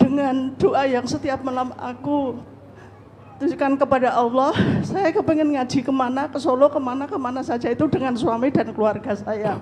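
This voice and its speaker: Noticeable noise sits behind a woman whose voice is pitched high. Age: 60s. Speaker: audience member asking a question. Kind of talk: question at a religious study session. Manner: formal.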